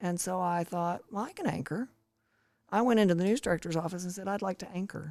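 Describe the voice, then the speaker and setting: A woman with a Southern US accent talks very fast at a fairly low pitch, with ordinary pitch variation. The recording is very clean, with a silent background. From East Tennessee. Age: 60s. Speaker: retired TV broadcaster. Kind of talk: interview.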